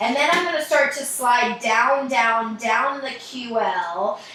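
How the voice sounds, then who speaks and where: Recorded with audible room echo and light background noise, a woman speaks at a high pitch with ordinary pitch variation. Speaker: mobility coach. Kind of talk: tutorial. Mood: relaxed, playful. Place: home room. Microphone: camera far.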